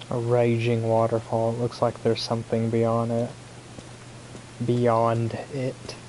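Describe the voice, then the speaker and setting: Over noticeable background noise, a man with a medium pitch speaks at a fairly slow pace in a monotone, flat intonation, leaving long, frequent pauses. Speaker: gaming YouTuber. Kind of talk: let's play commentary. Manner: sometimes drops consonants; casual, filler-heavy.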